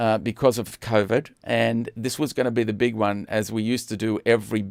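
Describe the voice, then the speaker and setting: In an Australian accent, a man speaks fairly quickly at a fairly low pitch with a monotone, flat delivery. The sound is dry and close with no echo, on a very clean recording with a silent background. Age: 60s. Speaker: online show host. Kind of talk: casual chat. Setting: live stream. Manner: halting.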